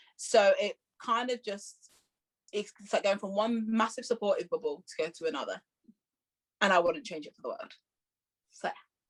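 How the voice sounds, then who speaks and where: With a strong Leicester accent, a woman talks in a fairly high pitch with ordinary pitch variation, big swings in loudness, and long, frequent pauses, all in a dry, close sound with no echo. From Leicester, England. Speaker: musical theatre performer. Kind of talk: casual interview chat. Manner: fast; animated.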